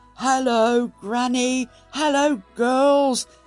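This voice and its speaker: A booming, put-on character voice at a fairly high pitch, with music in the background. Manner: warm, hearty greeting.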